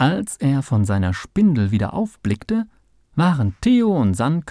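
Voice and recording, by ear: Someone reads aloud in a natural voice.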